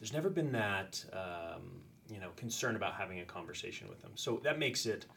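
A man speaks at a fairly quick pace in a medium-pitched voice with a bright, sharp tone and lively intonation, and audible room echo surrounds him. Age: 40s. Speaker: high school teacher. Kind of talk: casual chat.

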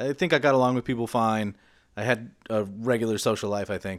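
The speech moves at a moderate pace. It is a normal speaking voice. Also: man. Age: 30s. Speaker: podcast co-host. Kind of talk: casual chat; scripted narration.

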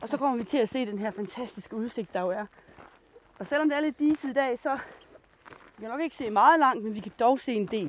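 A high-pitched woman speaks at a moderate pace with lively intonation. Her loudness swings widely. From Denmark, Djursland (Mols area). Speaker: biologist and nature guide. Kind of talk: guided nature walk. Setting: outdoors.

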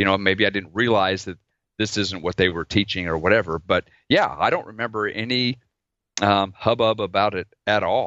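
An ordinary speaking voice from a man with an American accent, fairly low-pitched, with ordinary pitch variation. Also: moderate pace. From Oklahoma, US. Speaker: dentist and podcaster. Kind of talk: casual chat. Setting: video call.

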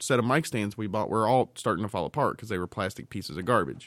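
A man talks at a very fast pace, with vocal fry. The recording is very clean, with a silent background. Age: 30s. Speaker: podcast co-host. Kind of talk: casual chat. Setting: studio.

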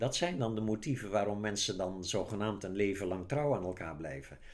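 A man with an ordinary speaking voice talks at a fairly low pitch and a moderate pace. His pitch variation is ordinary. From Netherlands, Zeeland. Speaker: author. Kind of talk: casual chat.

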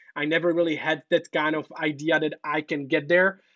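In a dry, close recording with no echo, a man with a Czech accent speaks in a fairly high voice. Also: quiet background. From Czech Republic. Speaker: entrepreneur and consultant in China. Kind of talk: interview.

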